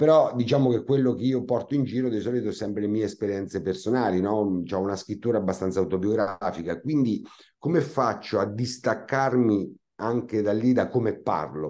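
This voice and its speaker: In a Marche accent, the speaker goes at a moderate pace with ordinary pitch variation and a dark, mellow tone. The background is quiet. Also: man, fairly low pitch for a man. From Marche, Italy. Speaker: comic actor; comic stage actor. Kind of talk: interview. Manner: hesitant, with many fillers. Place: home room. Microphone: video call.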